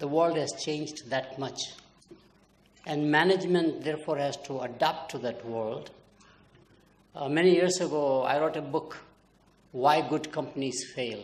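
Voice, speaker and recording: Amid audible room echo, a man with a fairly high pitch and ordinary pitch variation talks at a moderate pace, taking long, frequent pauses. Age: 80s+. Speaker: marketing professor. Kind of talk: keynote lecture.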